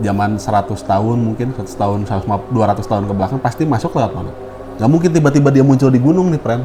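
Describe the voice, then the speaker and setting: Against noticeable background noise, a man speaks very fast at medium pitch with ordinary pitch variation. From West Java, Bandung. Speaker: podcast host. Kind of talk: casual chat.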